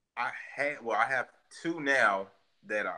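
A man is speaking. His tone is bright and sharp. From South Side of Chicago. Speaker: gun shop owner. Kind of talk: interview.

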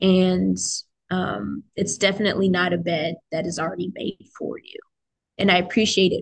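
A woman speaks with an American accent at a moderate pace. Her pitch is medium, with vocal fry. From US military family, grew up in several places, settled in DC area. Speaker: university student. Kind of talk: casual chat.

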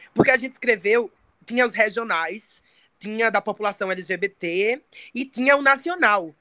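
A woman's fairly high, bright and sharp voice in a dry, close recording with no echo. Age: 20s. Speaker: poet and singer. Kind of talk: interview. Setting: remote call, camera off.

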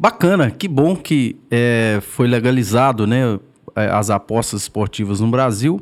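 Lively intonation marks a man's very slow delivery. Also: medium pitch for a man. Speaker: podcast co-host. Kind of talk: interview questions.

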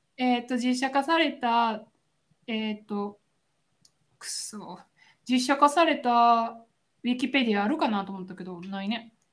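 Using a Kansai accent, a woman with a high pitch speaks in an animated tone at a fairly slow pace, with long, frequent pauses, big swings in loudness and ordinary pitch variation. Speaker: podcast co-host. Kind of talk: casual chat. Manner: animated, frequent laughter.

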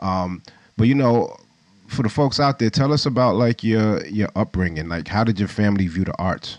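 In an ordinary speaking voice, a man with a fairly low pitch and ordinary pitch variation keeps a moderate pace. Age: 40s. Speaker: podcast host, photographer. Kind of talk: casual interview. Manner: laid-back.

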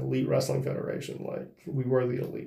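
A man speaks with audible room echo. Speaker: professional wrestler. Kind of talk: solo monologue. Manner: halting.

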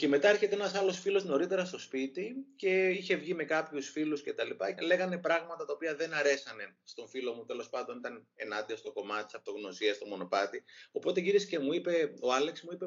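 Fairly quick and lively in intonation, a man talks at a high pitch. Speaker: author. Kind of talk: interview. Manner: fast.

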